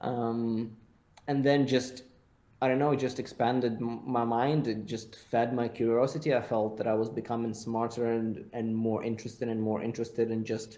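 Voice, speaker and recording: Here is a man with a non-native accent and a dark, mellow tone. He speaks at a moderate pace in a monotone, flat intonation. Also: medium pitch for a man. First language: not English. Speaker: content creator and agency owner. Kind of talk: podcast interview.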